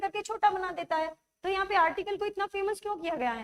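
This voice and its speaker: Dry and close with no echo, the recording captures a woman speaking at a moderate pace. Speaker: English grammar teacher. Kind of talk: online live class lecture. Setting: live stream class.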